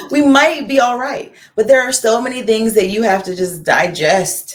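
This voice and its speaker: A woman with a plain, everyday voice speaks at a fairly high pitch and a moderate pace, using lively intonation. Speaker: costumer and comedian. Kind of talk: interview conversation.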